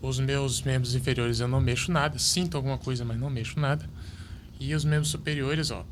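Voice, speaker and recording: A man talks at a fairly quick pace, broken by long, frequent pauses. Audible room echo surrounds his voice. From Brasília, Brazil. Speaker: para table tennis athlete. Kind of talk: podcast interview.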